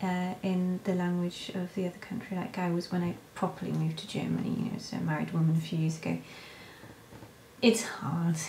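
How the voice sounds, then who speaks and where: A woman with a British accent talks at a fairly quick pace in a fairly low pitch and fairly even intonation, with audible room echo and noticeable background noise. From Britain. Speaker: vlogger, stay-at-home mother. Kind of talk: casual vlog Q&A. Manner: quiet, talking softly; hesitant, many fillers.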